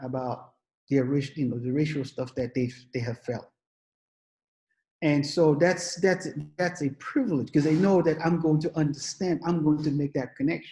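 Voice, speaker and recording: Pausing often and at length, a man with a fairly high pitch and a dark, mellow, somewhat breathy tone speaks at a moderate pace with ordinary pitch variation. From England. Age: 60s. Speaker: psychiatrist. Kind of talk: panel discussion.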